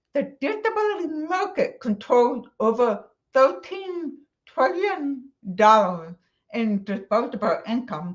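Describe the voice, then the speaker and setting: Very slow and with very wide pitch swings, a woman speaks in an American accent. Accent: deaf. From Texas. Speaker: accessibility conference speaker. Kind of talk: conference talk.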